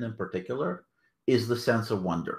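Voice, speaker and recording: The recording is very clean, with a silent background behind a man's speech. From Soviet Union, emigrated to US at 13-14. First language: Russian. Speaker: author and anthology editor. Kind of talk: interview. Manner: hesitant, many fillers.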